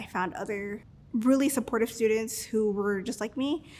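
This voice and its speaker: The woman's pitch is fairly high, her intonation fairly even, and her pace moderate. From Los Angeles (South Central) and Mexico. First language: Spanish. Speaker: student and cybersecurity engineer. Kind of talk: interview. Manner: halting, frequent fillers.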